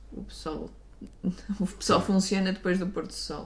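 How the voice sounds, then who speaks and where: Audible room echo surrounds a woman speaking with a European Portuguese accent. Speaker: podcast co-host. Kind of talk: casual chat.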